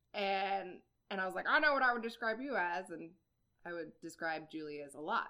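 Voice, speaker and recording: An unremarkable speaking voice from a woman with an American accent, medium pitch, lively intonation, fairly quick pace and big swings in loudness. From Iowa. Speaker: podcast co-host. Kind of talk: casual chat.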